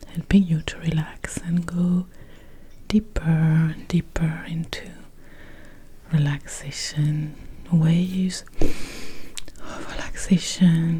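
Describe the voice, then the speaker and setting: Soft-spoken and very slow, a woman with a fairly low pitch talks in a monotone, flat way with long, frequent pauses over noticeable background noise. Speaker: mindfulness teacher and guided meditation producer. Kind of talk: ASMR soft-spoken announcement to camera. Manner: soft-spoken, soothing.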